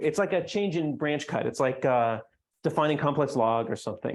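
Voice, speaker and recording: In an ordinary speaking voice, a man with a fairly high pitch talks at a moderate pace with lively intonation over a quiet background. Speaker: mathematician giving conference talk. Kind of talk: lecture.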